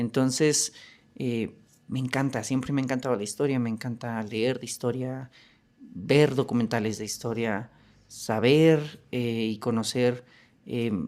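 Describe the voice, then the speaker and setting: Fairly slow in pace, a man's speech keeps a fairly even intonation. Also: medium pitch for a man, very clean recording, silent background. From Mexico. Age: 30s. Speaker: podcast host. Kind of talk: podcast monologue. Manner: hesitant, many fillers.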